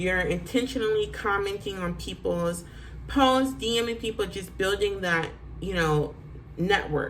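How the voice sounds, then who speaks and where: A woman with an animated tone speaks fairly slowly at medium pitch, with ordinary pitch variation. Audible room echo and noticeable background noise fill the recording. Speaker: real estate agent. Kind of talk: tutorial.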